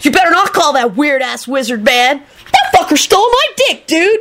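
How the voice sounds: Putting on a character voice, a woman speaks at a moderate pace with high pitch, big pitch swings and a fairly bright tone.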